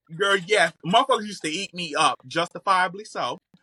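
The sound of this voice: Her tone is bright and sharp, and she speaks at a fairly quick pace. This woman has a fairly low pitch with ordinary pitch variation. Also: dry, close sound with no echo.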